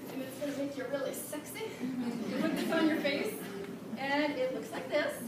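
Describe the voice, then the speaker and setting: Amid noticeable background noise and audible room echo, the voice holds a moderate pace and shows ordinary pitch variation. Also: woman. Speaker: direct sales distributor. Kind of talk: product demonstration at a team meeting. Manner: loud. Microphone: speaking without the mic.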